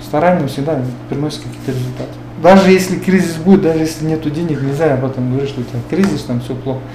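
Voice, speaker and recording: Over noticeable background noise and audible room echo, a man with a fairly high voice speaks very fast with ordinary pitch variation. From Kyrgyzstan, Talas region. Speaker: businessman. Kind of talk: interview. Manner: halting.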